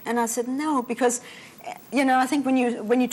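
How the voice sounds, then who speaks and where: A woman speaks very fast at a high pitch with ordinary pitch variation. Noticeable background noise runs underneath. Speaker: retired airline pilot and author. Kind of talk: interview.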